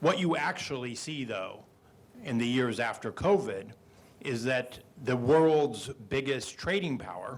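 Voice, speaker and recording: At a fairly slow pace, a man with a normal speaking voice and medium pitch talks with lively intonation. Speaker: trade policy expert panelist. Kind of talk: panel discussion.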